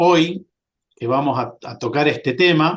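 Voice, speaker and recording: Very slow speech from a man, fairly high in pitch, its pitch variation ordinary. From Argentina, Córdoba province. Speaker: sales and marketing representative, fire safety presenter. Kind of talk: webinar presentation. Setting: online webinar. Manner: hesitant, many filler sounds.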